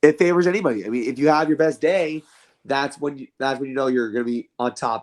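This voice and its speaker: A man talks very fast with ordinary pitch variation on a very clean recording with a silent background. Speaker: sports podcast co-host. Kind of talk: casual sports discussion.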